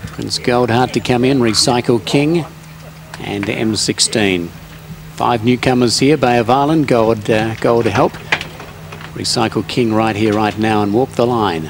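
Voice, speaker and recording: Speaking at a fairly slow pace, a man uses a medium pitch with ordinary pitch variation against noticeable background noise. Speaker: race caller. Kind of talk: live commentary. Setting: racecourse.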